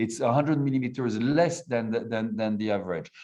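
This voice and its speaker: A man's voice with a French accent and ordinary pitch variation. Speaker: wine producer. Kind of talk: interview. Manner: halting.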